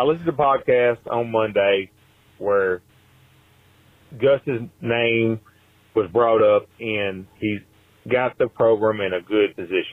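A man with a Southern US accent speaks fairly slowly at a medium pitch. His pitch varies in an ordinary way, and he leaves long, frequent pauses. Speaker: caller. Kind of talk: voicemail.

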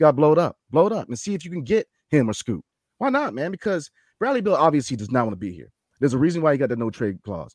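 On a very clean recording with a silent background, a man with a fairly high pitch and vocal fry speaks at a very fast pace, with very wide pitch swings and big swings in loudness. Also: dry, close sound with no echo. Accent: American. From Washington DC. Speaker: sports podcast host. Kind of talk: casual chat. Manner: animated.

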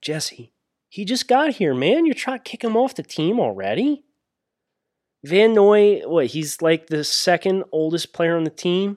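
A man with a Northeastern US accent at a fairly slow pace, with lively intonation and long, frequent pauses, on a very clean recording with a silent background and a dry, close sound with no echo. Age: 30s. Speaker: sports podcast host. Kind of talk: casual chat.

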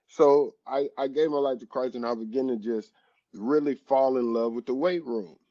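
In a plain, everyday voice, a man talks at a moderate pace and medium pitch with fairly even intonation. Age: 30s. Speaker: former NFL defensive lineman. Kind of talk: interview.

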